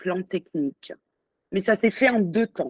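The voice shows ordinary pitch variation, captured with a dry, close sound and no echo. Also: woman. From abroad, various countries (born in Auvergne). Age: 30s. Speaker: business owner, print company founder. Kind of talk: interview. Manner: halting, many hesitations.

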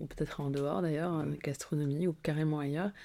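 A woman speaks at a moderate pace in a fairly low pitch and a dark, mellow tone on a very clean recording with a silent background. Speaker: podcast host. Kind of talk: scripted narration; interview.

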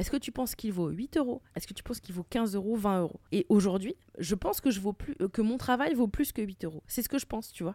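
A woman's dark, mellow tone with lively intonation at a very fast pace, dry and close with no echo, on a very clean recording with a silent background. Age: 30s. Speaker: comedian and podcaster. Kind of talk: casual chat.

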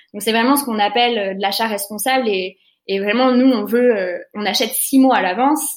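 In an ordinary speaking voice, a woman talks at a moderate pace, her pitch fairly high with ordinary variation. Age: 20s. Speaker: eco-fashion concept store co-founder. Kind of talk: interview.

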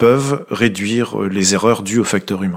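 The man talks at a moderate pace. His pitch is medium, with ordinary variation. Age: 40s. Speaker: railway maintenance team manager. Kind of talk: interview. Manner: hesitant, repeats words.

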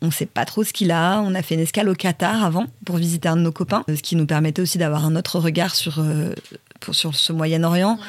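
A woman with an unremarkable speaking voice talks at a fairly quick pace and fairly low pitch, her loudness very even and her intonation fairly even. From Paris, France. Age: 40s. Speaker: travel blogger. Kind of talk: casual interview. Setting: wooden cabin.

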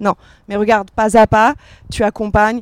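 The voice moves at a moderate pace. Its sound is dry and close, with no echo. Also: woman. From Paris, France. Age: 30s. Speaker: fashion brand co-founder. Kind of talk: panel discussion. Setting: outdoor stage with audience.

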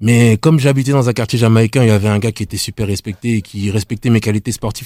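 A man with a fairly low pitch speaks in a dark, mellow tone at a fairly quick pace, his intonation fairly even. The recording is very clean, dry and close, with no echo and a silent background. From Île-de-France (Nemours, 77). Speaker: former taekwondo athlete and rapper. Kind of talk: casual chat.

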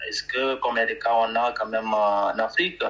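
A man talks over noticeable background noise. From Chad. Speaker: humanitarian mission head. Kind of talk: podcast interview.

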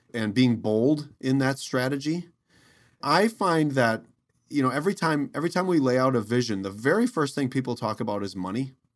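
In a plain, everyday voice, a man talks with an American accent at medium pitch and a moderate pace. His intonation is lively, and the recording is very clean with a silent background. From Wisconsin. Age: 50s. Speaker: mayor and educator. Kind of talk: interview conversation.

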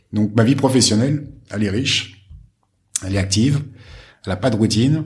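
Audible room echo surrounds a somewhat breathy man. His pitch varies in an ordinary way. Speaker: hotel group executive. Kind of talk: interview. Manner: halting, many repetitions and fillers.

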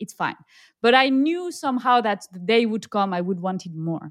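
A woman's fairly high voice with a French accent, on a very clean recording with a silent background. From southern France. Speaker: expat working mother. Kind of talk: casual interview.

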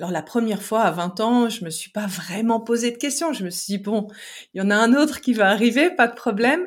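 A woman talks in an ordinary speaking voice at a fairly high pitch. Her pace is fairly quick and her intonation lively. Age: 40s. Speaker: relationship coach and therapist. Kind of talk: casual interview chat.

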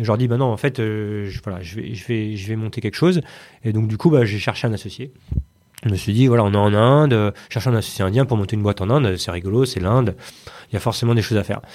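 A man's fairly low voice at a very fast pace, ordinary pitch variation, in a very clean recording with a silent background. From Paris region, France. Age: 30s. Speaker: tech company CEO. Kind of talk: interview conversation. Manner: halting.

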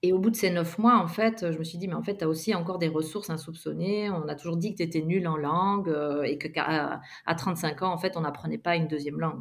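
Here a woman talks in a normal speaking voice at a fairly low pitch. She keeps a fairly quick pace with ordinary pitch variation. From Belgium. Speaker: yoga teacher and physiotherapist. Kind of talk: interview.

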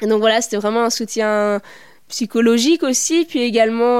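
A woman speaks in an unremarkable speaking voice at a fairly high pitch, keeping her intonation fairly even. She talks at a moderate pace on a very clean recording with a silent background. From not from La Rochelle; studied in Paris region. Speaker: doctoral researcher and theatre maker. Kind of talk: interview.

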